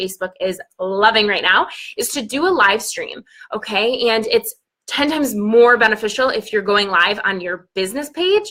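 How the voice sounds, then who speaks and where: Here a woman talks at a fairly quick pace. Her pitch is fairly high. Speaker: online business coach. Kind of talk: live stream talk. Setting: Facebook live stream. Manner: fast; animated.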